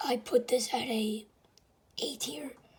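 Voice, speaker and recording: Noticeable background noise sits under the talking. The delivery is very slow. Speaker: gaming youtuber. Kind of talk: casual video commentary. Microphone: camera quality bad.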